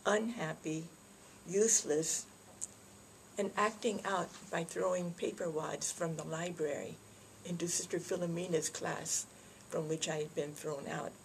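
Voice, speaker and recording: A woman speaks at a fairly slow pace with long, frequent pauses. Her voice is somewhat breathy and fairly low in pitch, with fairly even intonation. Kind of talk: greeting message to camera. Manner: soft-spoken.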